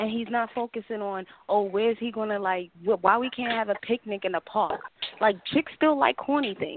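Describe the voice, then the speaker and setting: In a plain, everyday voice, a woman with an American accent speaks at a moderate pace, her fairly high pitch showing ordinary variation. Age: 20s. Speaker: caller. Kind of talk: casual chat.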